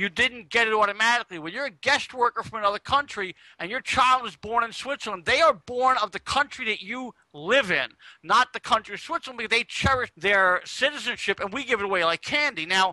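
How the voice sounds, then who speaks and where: Recorded dry and close with no echo, a man uses a raised, projected voice at an extremely high pitch, with ordinary pitch variation. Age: 50s. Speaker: online talk show co-host. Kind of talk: casual panel discussion.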